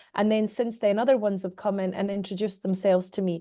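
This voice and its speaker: A woman's medium-pitched voice, dark and mellow in tone, against a quiet background. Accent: Scottish. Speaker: medium and mentor. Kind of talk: interview answer.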